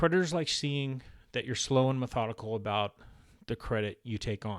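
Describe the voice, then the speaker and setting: A man talks at a moderate pace with a medium pitch and lively intonation, in a normal speaking voice. The recording is very clean, with a silent background. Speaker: author and credit repair educator. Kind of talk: tutorial. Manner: casual, conversational with fillers.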